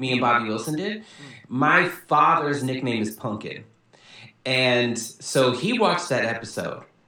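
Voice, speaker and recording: In an American accent, a man speaks at a fairly slow pace with medium pitch and lively intonation. Audible room echo surrounds his voice. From Southern California, Kumeyaay reservation. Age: 30s. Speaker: poet and TV writer. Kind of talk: casual chat.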